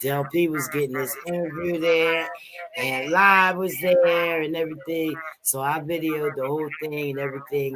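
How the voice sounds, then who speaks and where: A man talks over noticeable background noise. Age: 60s. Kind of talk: casual chat.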